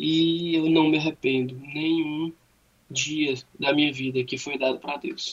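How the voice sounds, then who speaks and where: A man's fairly high voice keeps a fairly even intonation. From Fortaleza, Brazil. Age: 30s. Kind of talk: radio interview, faith testimony.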